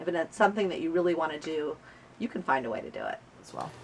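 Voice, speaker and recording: Through noticeable background noise, a woman with a fairly low pitch speaks with ordinary pitch variation. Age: 50s. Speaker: accountant. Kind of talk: interview.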